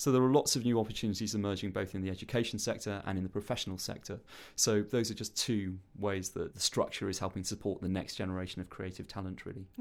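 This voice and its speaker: Speaking at a very fast pace, a man with a fairly low pitch comes through on a very clean recording with a silent background. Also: fairly even intonation. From Wales. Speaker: arts organisation chief executive, former journalist. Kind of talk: interview. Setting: studio.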